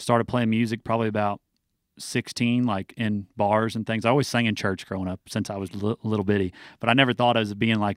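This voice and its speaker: In a very clean recording with a silent background and a dry, close sound with no echo, a man talks very fast in an American accent. His pitch is fairly low and his intonation monotone and flat. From US Midwest, southern Illinois. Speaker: country singer. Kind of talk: radio interview. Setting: radio studio.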